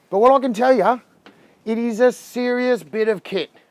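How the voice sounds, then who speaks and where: This man, with an Australian accent, speaks at an extremely high pitch. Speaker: boat dealer. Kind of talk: product review walkthrough. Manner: fast; animated.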